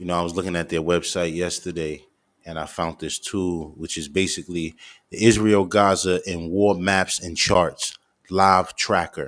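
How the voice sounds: A man speaks low, with a fairly bright tone and little pitch movement. His pace is moderate.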